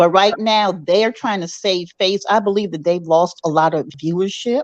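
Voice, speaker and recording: A woman has an ordinary speaking voice at a medium pitch. She keeps a moderate pace with ordinary pitch variation. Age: 60s. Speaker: caller. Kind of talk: live stream chat with host.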